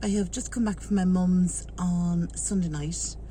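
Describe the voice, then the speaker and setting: A woman speaks with an Irish accent over noticeable background noise. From Ireland. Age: 40s. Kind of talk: casual talk to camera.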